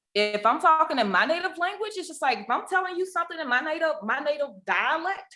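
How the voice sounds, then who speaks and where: A woman with a strong Southern US accent speaks in a raised, projected voice at a very fast pace, her pitch swinging very widely. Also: hardly any pauses. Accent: deep Southern. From US South. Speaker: podcast co-host, ICU nurse. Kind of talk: casual chat.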